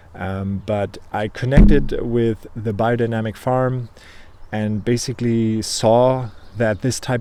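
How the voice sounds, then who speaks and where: With a German accent, a man speaks fairly slowly at medium pitch in a monotone, flat intonation. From Germany. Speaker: beekeeper. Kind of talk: casual video monologue. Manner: hesitant, many fillers.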